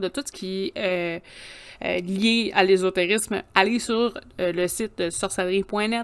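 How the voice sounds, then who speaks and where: Pitch shifts in an ordinary way for this woman. She keeps a fairly slow pace. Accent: Quebec. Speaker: podcast co-host. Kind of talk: casual chat.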